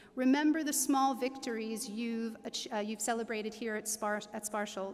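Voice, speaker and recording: Moderately paced, a woman speaks with an American accent. Her voice is high, with fairly even intonation. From United States. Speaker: graduation ceremony speaker. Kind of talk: commencement speech. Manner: formal.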